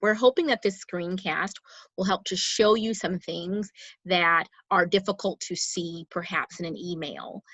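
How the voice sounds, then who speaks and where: Speaking at a fairly slow pace, a woman uses a medium pitch and fairly even intonation. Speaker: school administrator. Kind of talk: parent announcement broadcast. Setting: screencast. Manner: deliberately slowed with pauses.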